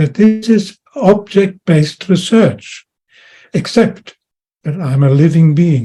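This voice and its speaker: Very slowly and with lively intonation, a man speaks in a dark, mellow tone. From Austria and Germany. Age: 90s. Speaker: World War Two veteran. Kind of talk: personal testimony.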